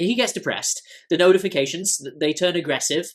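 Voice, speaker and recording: A fairly quick voice with an English accent on a very clean recording with a silent background. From England. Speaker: tech business commentator. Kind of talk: video essay explainer. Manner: conversational with frequent restarts.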